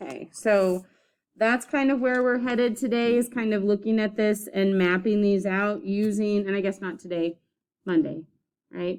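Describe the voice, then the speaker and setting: A woman speaks in a normal speaking voice at a moderate pace, her pitch medium and its variation ordinary. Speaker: art teacher. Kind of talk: classroom lesson demonstration. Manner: casual with many fillers.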